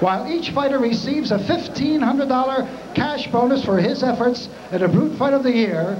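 A man's extremely high voice at a moderate pace with ordinary pitch variation, over noticeable background noise. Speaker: ring announcer. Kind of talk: ring announcement. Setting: PA system in arena. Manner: formal. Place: stadium. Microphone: handheld.

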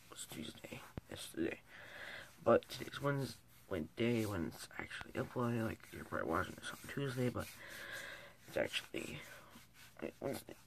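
A man whispers at a moderate pace, leaving long, frequent pauses. His loudness swings widely. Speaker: vlogger. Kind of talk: casual vlog chat. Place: home room. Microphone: phone near.

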